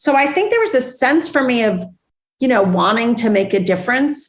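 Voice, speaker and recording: Here is a woman with a normal speaking voice. She talks at a moderate pace. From Iran, raised in US (Lafayette). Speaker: business executive. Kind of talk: interview.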